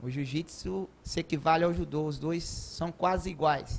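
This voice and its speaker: This man speaks at a moderate pace, his fairly high pitch moving with ordinary variation. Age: 30s. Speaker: judo coach. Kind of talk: TV interview. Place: studio. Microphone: handheld.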